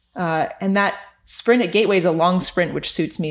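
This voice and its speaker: With a Californian accent, a woman speaks at a very fast pace. Her pitch is fairly low and varies in an ordinary way. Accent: Californian American. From California, Santa Cruz. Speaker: amateur cyclist. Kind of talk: interview.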